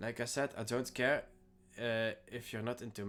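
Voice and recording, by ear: The intonation holds fairly even. Someone is reading aloud in a natural voice.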